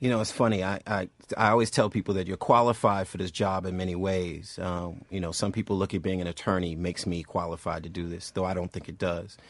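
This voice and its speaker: A man with an American accent and a very deep, low pitch talks at a very fast pace. He has hardly any pauses and fairly even intonation. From Boston, Massachusetts. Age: 40s. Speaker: civil rights organization leader. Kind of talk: radio talk show interview.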